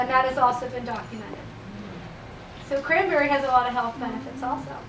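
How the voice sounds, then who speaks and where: Over noticeable background noise and audible room echo, a woman talks at a fairly quick pace. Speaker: health practitioner giving a presentation. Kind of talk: business presentation. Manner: fast.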